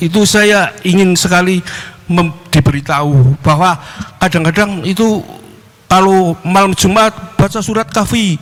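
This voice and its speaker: A man's high voice at a fairly slow pace, with very even loudness, ordinary pitch movement and noticeable background noise. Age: 60s. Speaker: caller asking a religious question. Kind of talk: question to a preacher in a Q&A.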